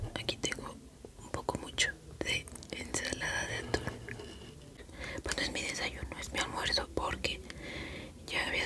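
At a moderate pace, a woman talks in a whisper. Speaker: ASMR creator. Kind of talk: ASMR eating video, talk to viewers. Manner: whispered. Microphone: studio mic.

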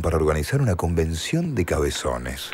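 Noticeable background noise accompanies a man talking at a moderate speed. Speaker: announcer. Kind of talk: TV commercial read.

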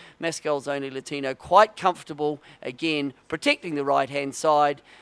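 A man speaks at a moderate pace in a plain, everyday voice, fairly high in pitch. The sound is dry and close with no echo, on a very clean recording with a silent background. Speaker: sailing race commentator. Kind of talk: live sports commentary on a sailing race, brisk play-by-play narration. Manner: clipped, authoritative, technical.

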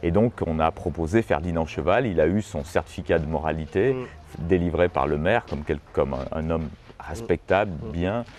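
With music in the background, a man with a very deep, low pitch speaks at a moderate pace using lively intonation. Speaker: expert on the folk-art palace's history. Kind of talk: storytelling explanation.

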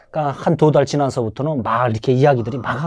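Behind the voice, the background stays quiet. A man rattles off his words very fast. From North Korea. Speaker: North Korean defector; interview guest. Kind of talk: interview; interview answer. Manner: halting, many fillers. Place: studio. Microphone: lapel.

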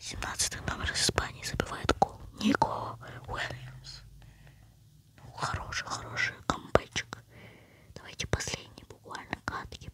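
Over noticeable background noise, a whisper moves at a fairly slow pace, broken by long, frequent pauses. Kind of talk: casual gaming commentary. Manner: whispering.

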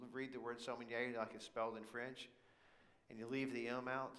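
A man's bright, sharp tone at a moderate pace. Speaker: preacher. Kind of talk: sermon. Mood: humorous, relaxed anecdote. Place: church.

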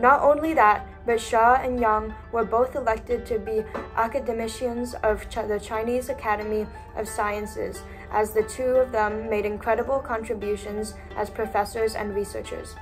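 Clear music plays in the background as the voice goes at a moderate pace, monotone and flat. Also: woman. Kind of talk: school presentation. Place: home room. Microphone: webcam.

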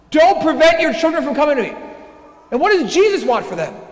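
With lively intonation, a man speaks at an extremely high pitch. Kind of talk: Sunday homily preached at Mass, building to an urgent warning. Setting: church during Mass. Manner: impassioned, repeating phrases as he presses a point; conversational asides mixed with rhetorical questions. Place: church. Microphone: lapel.

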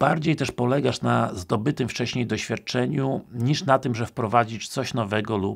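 Behind the man, everything is quiet. His pitch rises and falls in an ordinary way. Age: 50s. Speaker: police recruitment trainer. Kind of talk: casual talk to camera. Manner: hesitant with filler sounds. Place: home room.

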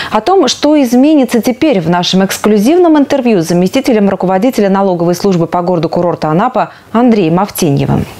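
Her speech comes very fast, and this woman's intonation is lively. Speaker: news anchor. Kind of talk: news reading. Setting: studio. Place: studio. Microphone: lapel.

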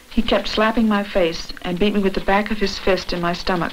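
A woman's medium-pitched voice in an American accent, fairly quick and fairly even in intonation, over noticeable background noise. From US South. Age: 20s. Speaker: civil rights organizer. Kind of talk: testimony.

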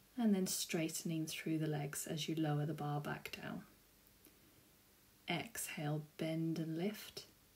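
Somewhat breathy and fairly low-pitched, a woman talks at a fairly slow pace with fairly even intonation. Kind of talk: tutorial. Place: home room. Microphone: camera far.

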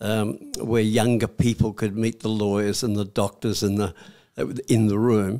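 Over a quiet background, a man talks at a fairly slow pace in a fairly low pitch, with a dark, mellow tone and monotone, flat intonation. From Australia. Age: 80s+. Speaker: war veteran. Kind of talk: interview answer. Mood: warm, reflective. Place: studio. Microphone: studio mic.

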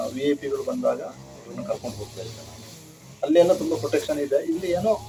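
A man speaks with music in the background. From Kodagu, Karnataka. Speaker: army veteran. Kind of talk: interview.

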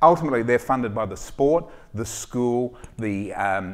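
Here a man with an Australian accent speaks with ordinary pitch variation. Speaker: sports doctor and startup founder. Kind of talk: startup pitch with Q&A. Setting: stage with audience. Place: stage. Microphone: headset.

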